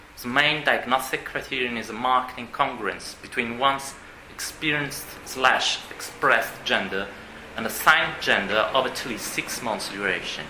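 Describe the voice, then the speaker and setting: The speaker talks at a moderate pace with a non-native accent and fairly even intonation. Noticeable background noise and audible room echo are present. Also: man, medium pitch for a man. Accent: non-native English pronunciation. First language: Italian. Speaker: psychiatrist. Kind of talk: conference talk read aloud. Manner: formal.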